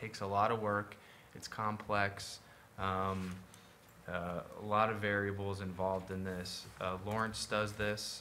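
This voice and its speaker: Fairly low in pitch, a man talks at a fairly slow pace in a monotone, flat intonation. His tone is bright and sharp, with light background noise behind him. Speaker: city administrator. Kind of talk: municipal meeting discussion. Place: meeting room. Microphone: podium.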